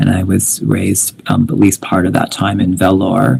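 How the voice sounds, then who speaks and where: A man talks at a fairly slow pace in a fairly low pitch. Noticeable background noise runs behind him. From Canada (Winnipeg), early childhood in India. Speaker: poet. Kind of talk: poetry reading with commentary. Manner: halting, many fillers.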